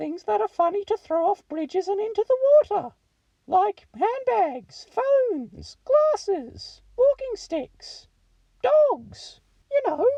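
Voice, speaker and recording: A squeaky put-on character voice at an extremely high pitch, with very wide pitch swings and a fairly slow pace. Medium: read story. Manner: earnest, naive.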